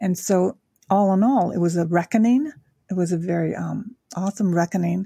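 With an American accent, the speaker has a dark, mellow, somewhat breathy tone, moderate pace and ordinary pitch variation, in a dry, close sound with no echo. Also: woman, medium pitch for a woman. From Tokyo, Japan (American father, Japanese mother). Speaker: angel intuitive and life coach. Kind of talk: interview conversation.

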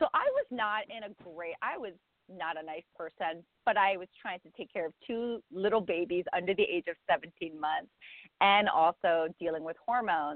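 A woman's ordinary speaking voice, medium in pitch, with ordinary pitch variation, a moderate pace and big swings in loudness. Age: 40s. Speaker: life and meditation coach. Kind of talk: casual chat; guided meditation.

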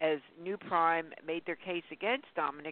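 This woman has a normal speaking voice and a fairly low pitch. She keeps a moderate pace with ordinary pitch variation. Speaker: radio host. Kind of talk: casual interview. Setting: phone call.

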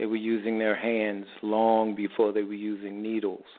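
A man with a medium-pitched voice and an American accent. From New York City. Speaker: holistic health practitioner. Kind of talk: radio interview answering health questions. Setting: radio show with phone-in callers. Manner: conversational, explanatory.

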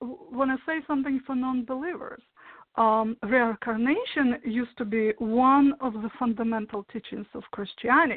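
A woman's high voice with ordinary pitch variation, at a moderate pace. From Soviet Union. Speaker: hypnotherapist. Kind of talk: interview.

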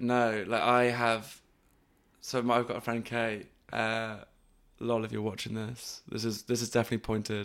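A man with a West Midlands accent, medium pitch, monotone and flat intonation, and a moderate pace, on a very clean recording with a silent background. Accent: Coventry English. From England, Coventry. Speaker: comedian. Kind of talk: casual chat.

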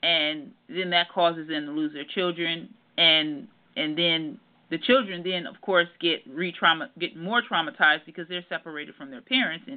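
In an American accent, a woman speaks at a moderate pace and a fairly low pitch, with a plain, everyday voice. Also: big swings in loudness. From Detroit, Michigan. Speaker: therapist. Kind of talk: interview.

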